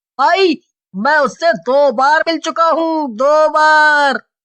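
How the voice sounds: Using a cartoonish character voice, a woman speaks at a fairly slow pace with a high pitch.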